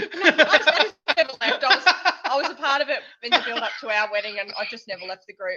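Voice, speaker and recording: A woman with an Australian accent projects a raised, high-pitched voice at a very fast pace. Her pitch swings very widely and her loudness shifts greatly. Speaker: homesteading channel co-host. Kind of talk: casual chat. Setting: livestream.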